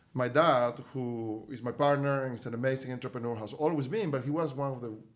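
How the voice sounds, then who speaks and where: A man talks with a Spanish accent. His intonation is fairly even. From Venezuela. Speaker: company CEO. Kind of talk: podcast interview.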